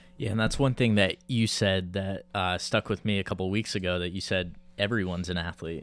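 Over music in the background, a man with a very deep, low pitch speaks at a fairly quick pace with fairly even intonation and hardly any pauses. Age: 20s. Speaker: podcast host. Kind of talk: casual interview chat.

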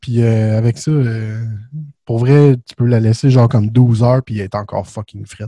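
A dark, mellow tone at a moderate pace, with fairly even intonation, big swings in loudness, and a dry, close sound with no echo. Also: man, medium pitch for a man. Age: 20s. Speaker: podcast host. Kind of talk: casual chat.

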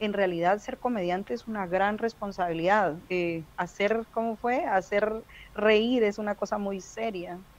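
At a fairly slow pace, a woman speaks in an unremarkable speaking voice of medium pitch with ordinary pitch variation. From Guatemala City. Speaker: stand-up comedian. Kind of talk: casual chat. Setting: video call.

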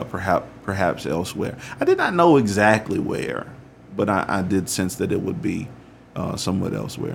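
Against noticeable background noise, a man with a fairly low voice speaks with lively intonation. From US South, rural Alabama. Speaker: pastor. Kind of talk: interview.

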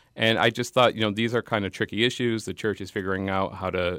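A man's fairly low voice with an American accent, very fast and fairly even in intonation, in a dry, close sound with no echo and a very clean recording with a silent background. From Massachusetts. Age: 30s. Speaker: journalist and podcast host. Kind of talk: radio interview. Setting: studio.

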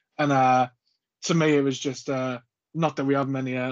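A man with a slight Scouse accent speaks at a fairly high pitch. His pace is moderate and his intonation is monotone and flat. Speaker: podcast host. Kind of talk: casual chat.

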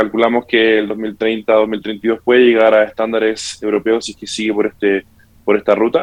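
Monotone and flat in intonation, a man at medium pitch speaks at a moderate pace. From Santiago, Chile. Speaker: tax tech company representative. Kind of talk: interview.

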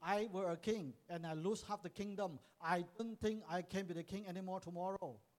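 A man's high-pitched, animated voice at a fairly quick pace, with hardly any pauses. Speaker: preacher. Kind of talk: sermon, English preaching, paused for line-by-line interpretation into Cantonese. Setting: church with live interpreter. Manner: animated, exhortative, call-and-response with congregation.

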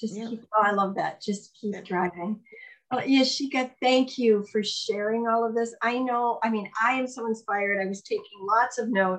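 A woman with a normal speaking voice, fairly high in pitch, at a moderate pace with fairly even intonation. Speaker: podcast host. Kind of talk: casual interview.

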